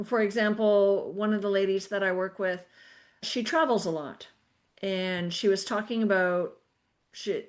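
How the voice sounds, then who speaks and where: The speaker has a slight Canadian accent and ordinary pitch variation. The background is quiet. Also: woman. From Canada. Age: 50s. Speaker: podcast host and personal trainer. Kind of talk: casual chat. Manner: animated.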